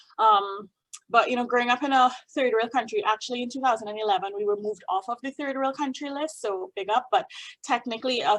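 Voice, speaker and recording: A woman's high voice with a Trinidadian accent, ordinary pitch variation and a fairly quick pace, over a quiet background. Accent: Trinidadian, up-and-down sing-song. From Trinidad and Tobago. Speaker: opera singer and music doctor. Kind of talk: talk to a group. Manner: animated.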